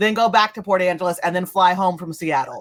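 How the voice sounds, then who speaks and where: In a very clean recording with a silent background, a woman with an unremarkable speaking voice talks at a fairly quick pace with ordinary pitch variation. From California. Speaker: podcast co-host. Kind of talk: casual chat.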